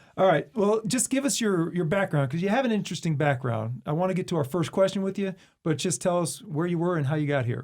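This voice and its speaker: In a very clean recording with a silent background, a man with a high pitch talks at a very fast pace with hardly any pauses and lively intonation. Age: 40s. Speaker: podcast co-host, school district communications staff. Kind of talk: podcast interview.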